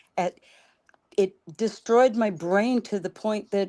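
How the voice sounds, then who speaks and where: In a quiet background, a woman talks at a fairly slow pace with ordinary pitch variation in an ordinary speaking voice. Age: 60s. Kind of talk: casual group discussion.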